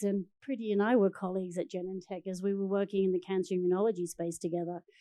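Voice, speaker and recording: A woman with an Australian accent and a dark, mellow tone at a fairly quick pace, over a quiet background. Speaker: biotech research executive. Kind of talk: panel discussion.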